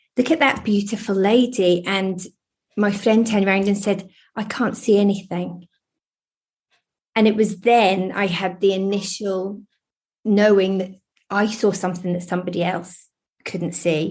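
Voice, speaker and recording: A woman speaks at a moderate pace and medium pitch, somewhat breathy. Her intonation is fairly even, with long, frequent pauses. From eastern England (Lowestoft, Suffolk). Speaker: spiritualist medium. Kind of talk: interview.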